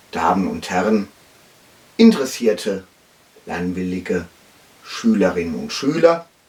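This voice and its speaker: A man with lively intonation and big swings in loudness, at a fairly slow pace, with long, frequent pauses over noticeable background noise. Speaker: dialect teacher. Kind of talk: mock language lesson.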